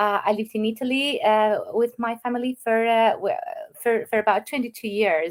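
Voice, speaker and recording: This woman speaks in an Albanian accent. Her pitch sits fairly high. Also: ordinary pitch variation, moderate pace. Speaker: online business owner. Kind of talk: interview. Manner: halting.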